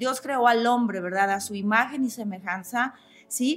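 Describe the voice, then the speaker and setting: A woman's fairly high voice at a moderate pace, with music in the background. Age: 40s. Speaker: podcast host, Bible teacher. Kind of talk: religious teaching monologue.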